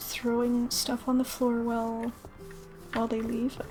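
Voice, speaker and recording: A soft-spoken woman at a fairly high pitch, calm and relaxed in tone, monotone and flat, at a fairly slow pace, with music in the background. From England. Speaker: gaming ASMR streamer and VTuber. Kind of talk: soft-spoken gaming ASMR commentary. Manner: soft-spoken, calm, relaxed.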